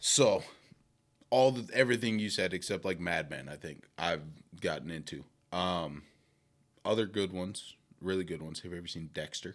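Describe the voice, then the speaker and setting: A man's very deep, low voice in an American accent, at a moderate pace with ordinary pitch variation and long, frequent pauses. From Milwaukee, Wisconsin. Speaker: financial advisor, former college football player. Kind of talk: casual chat. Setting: at host's home, in person.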